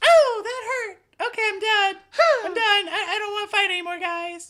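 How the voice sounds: A put-on, female-sounding character voice at an extremely high pitch and a moderate pace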